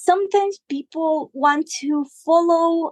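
Speaking at a very slow pace with lively intonation, a woman with a Spanish accent comes through in a dry, close sound with no echo. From Guatemala, Huehuetenango. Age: 20s. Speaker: musician. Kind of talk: interview. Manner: halting.

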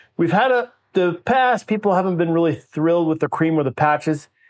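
This is a man with a plain, everyday voice. His pitch is fairly high and his pace moderate. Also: very clean recording, silent background. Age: 50s. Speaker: facial plastic surgeon. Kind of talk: interview.

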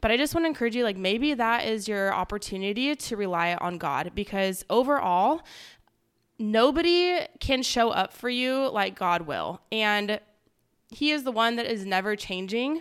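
An unremarkable speaking voice from a woman with an American accent, fairly high in pitch, with lively intonation at a moderate pace, on a very clean recording with a silent background. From Southern California, Palm Desert. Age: 30s. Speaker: podcast co-host, fitness background. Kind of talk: casual chat.

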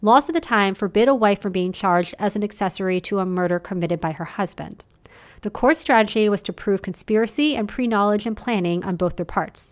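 A woman speaks at a fairly quick pace, with medium pitch and ordinary pitch variation, in an ordinary speaking voice. The recording is very clean, with a silent background. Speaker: podcast host. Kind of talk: true-crime narration, scripted storytelling. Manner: measured, steady, serious storyteller pace.

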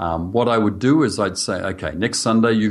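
Speaking at a fairly quick pace, a man with an Australian accent uses a fairly low pitch and ordinary pitch variation. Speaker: church leadership coach. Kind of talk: interview.

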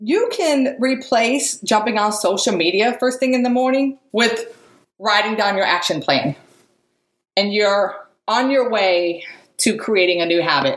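A woman speaks in a normal speaking voice, fairly high and fairly slow. Her intonation is lively and her loudness very even. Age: 40s. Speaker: motivational podcast host. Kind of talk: motivational monologue.

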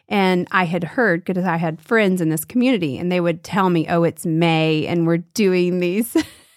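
Speaking with an American accent, a woman has an unremarkable speaking voice, fairly low pitch and ordinary pitch variation. Her pace is moderate, her loudness very even, and the recording very clean with a silent background. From US South. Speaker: art teacher. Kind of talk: casual chat.

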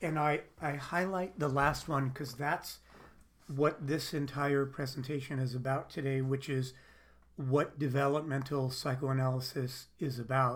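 A man with a fairly high, somewhat breathy voice speaks at a fairly slow pace. His intonation is fairly even, and room echo can be heard. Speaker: psychologist and psychoanalyst. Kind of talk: lecture. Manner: halting.

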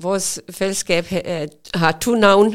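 A woman's fairly even intonation on a very clean recording with a silent background. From Pakistan. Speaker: volunteer. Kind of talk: interview. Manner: halting.

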